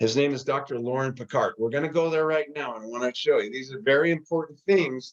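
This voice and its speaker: Talking at a very fast pace with hardly any pauses, a man uses a fairly high pitch and ordinary pitch variation. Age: 60s. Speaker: health product presenter. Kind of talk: live online presentation. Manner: casual, conversational.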